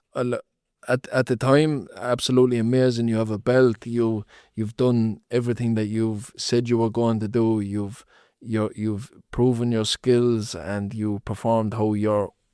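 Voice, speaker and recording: A man talks at a fairly slow pace in a flat monotone, his tone dark and mellow. The sound is dry and close with no echo, and the recording is very clean over a silent background. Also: medium pitch for a man. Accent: Limerick. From Ireland, Limerick. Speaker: professional boxer. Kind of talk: podcast interview.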